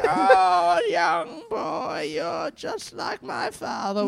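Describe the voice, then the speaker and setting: At a very slow pace, the speaker puts on a character voice at a middle pitch. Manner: frail, sweet, slightly demented.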